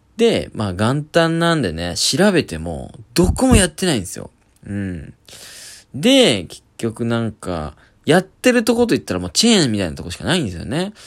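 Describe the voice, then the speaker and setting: On a very clean recording with a silent background, a man at a medium pitch and moderate pace shows very wide pitch swings and big swings in loudness. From Japan, Oita Prefecture (Kyushu). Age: 20s. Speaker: comedian. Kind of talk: solo podcast monologue. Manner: casual, halting with fillers.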